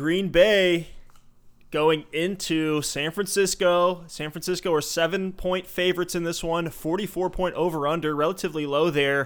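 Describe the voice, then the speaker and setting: A high-pitched man at a moderate pace, fairly even in intonation, on a very clean recording with a silent background. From Louisville, Kentucky. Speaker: sports podcast host. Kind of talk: casual podcast chat.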